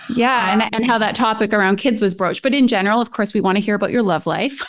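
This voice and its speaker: Very fast and fairly high-pitched, a woman speaks with very even loudness and fairly even intonation. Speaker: podcast host. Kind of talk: podcast interview.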